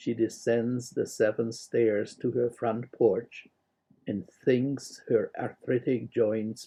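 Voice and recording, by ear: A quiet background behind reading aloud in a natural voice, the intonation fairly even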